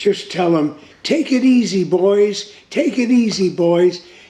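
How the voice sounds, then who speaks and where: Amid noticeable background noise, a man speaks at a moderate pace with lively intonation. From Netherlands. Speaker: World War II survivor. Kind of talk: interview answer.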